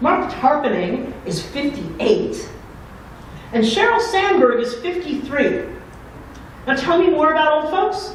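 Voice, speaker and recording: Speaking in an American accent at a fairly slow pace with long, frequent pauses, a woman uses a high pitch and very wide pitch swings, amid noticeable background noise and audible room echo. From Chicago area, Illinois. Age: 60s. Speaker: keynote speaker. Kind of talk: keynote speech. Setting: conference luncheon with audience. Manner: animated.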